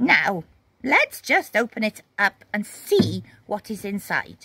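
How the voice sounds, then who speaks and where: Using a put-on character voice, a woman speaks at a fairly slow pace in a medium pitch, the sound dry and close with no echo. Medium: read story. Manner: warm, firm.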